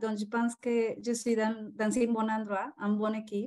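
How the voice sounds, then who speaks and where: A woman speaks with a Spanish accent. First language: Spanish (speaking French). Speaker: call participant. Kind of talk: casual group call. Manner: halting.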